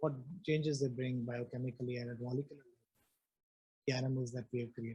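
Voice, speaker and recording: Soft-spoken and somewhat breathy, a man talks at a very fast pace with monotone, flat intonation. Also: medium pitch for a man. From India, Punjab. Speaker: neuroscience professor. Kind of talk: lecture. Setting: lecture hall with online audience. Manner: halting, many fillers.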